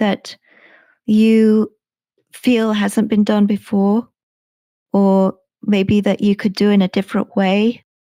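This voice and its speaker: A woman with a southern English accent speaks very slowly at a fairly high pitch, her tone dark and mellow, in a very clean recording with a silent background and a dry, close sound with no echo. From England, Suffolk. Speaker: sleep podcast creator. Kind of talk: interview. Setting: live stream. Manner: well paced.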